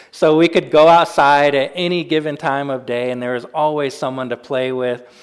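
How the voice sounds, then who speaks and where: At a moderate pace, a man talks in an ordinary speaking voice of medium pitch with fairly even intonation. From US Pacific Northwest (Spokane, Washington). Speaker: pastor. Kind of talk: sermon.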